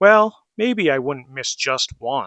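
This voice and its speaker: A man puts on a character voice. It sits at a fairly high pitch. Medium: read story. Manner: proud, self-absorbed.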